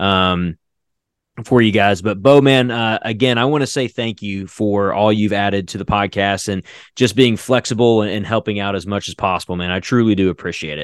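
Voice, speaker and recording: At a moderate pace, a man with an unremarkable speaking voice talks in a fairly low register, his pitch moving in an ordinary way. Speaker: podcast creator and voice actor. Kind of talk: casual interview. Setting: video call.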